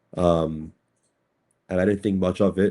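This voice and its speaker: In a New York accent, this dark, mellow voice moves at a fairly quick pace with monotone, flat intonation on a very clean recording with a silent background. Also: man. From Brooklyn, New York. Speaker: cryptocurrency attorney. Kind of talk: podcast interview. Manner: halting, many fillers and repeats.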